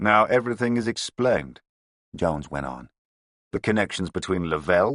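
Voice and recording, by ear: With ordinary pitch variation, a natural voice reads aloud over a quiet background.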